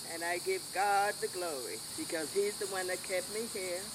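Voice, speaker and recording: A woman with an American accent speaks at a fairly slow pace and a medium pitch, her intonation lively over noticeable background noise. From US South, James Island, South Carolina. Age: 90s. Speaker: centenarian interviewee. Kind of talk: oral history interview. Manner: halting.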